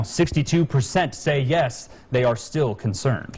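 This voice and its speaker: This man's somewhat breathy voice sits at a medium pitch with ordinary pitch variation. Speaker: TV news reporter / anchor. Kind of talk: TV news anchor read.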